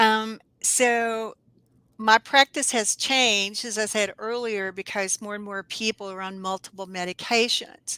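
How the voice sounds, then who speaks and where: A woman with a Southern US accent, fairly high pitch, bright, sharp tone and fairly even intonation, in a dry, close sound with no echo and a very clean recording with a silent background. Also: fairly slow pace, big swings in loudness. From US South, North Alabama. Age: 60s. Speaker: herbalist. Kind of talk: interview.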